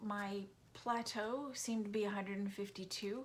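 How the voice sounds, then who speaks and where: This woman speaks at a medium pitch with monotone, flat intonation. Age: 60s. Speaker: vlogger. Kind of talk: casual monologue. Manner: hesitant, many fillers.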